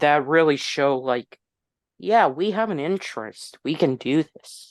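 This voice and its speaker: The speaker is a man at a fairly slow pace. The sound is dry and close, with no echo. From US, moved around (Tennessee, Massachusetts, Texas). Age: 20s. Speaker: YouTuber. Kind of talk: casual chat. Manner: halting.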